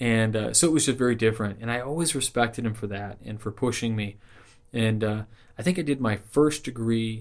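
With an American accent, a man talks at a fairly quick pace in a fairly low pitch and an unremarkable speaking voice. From Southern California. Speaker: Freemason and podcaster. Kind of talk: interview.

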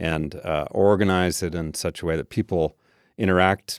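A man with an American accent talks at a moderate pace in a very deep, low voice, his intonation fairly even and the sound dry and close with no echo. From Washington State, Tacoma. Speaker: architect. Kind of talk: interview. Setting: studio. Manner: halting, many fillers.

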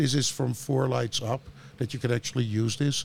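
With a Dutch accent, a man talks at a moderate pace in a medium pitch, his intonation fairly even. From Netherlands. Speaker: grow lighting entrepreneur. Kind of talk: interview. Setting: studio.

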